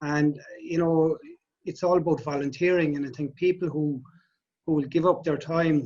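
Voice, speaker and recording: A man in a Cork accent, fairly high-pitched and fairly quick. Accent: Irish, Cork. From Ireland, Cork. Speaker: lifeboat volunteer. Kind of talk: interview.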